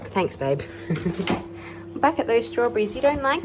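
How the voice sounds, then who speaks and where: A woman speaks with an Australian accent, her pitch swinging very widely. Noticeable background noise sits behind her. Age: 20s. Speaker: stay-at-home mum vlogger. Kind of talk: casual talk to camera.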